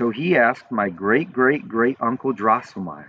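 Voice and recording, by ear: The text is read aloud in a natural voice.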